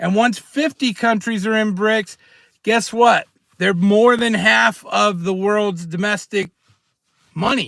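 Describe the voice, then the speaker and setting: A man talks loudly at a high pitch with an animated tone. His pace is fairly slow, with ordinary pitch variation. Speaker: prepping and precious metals streamer. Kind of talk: live stream rant. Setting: in a car.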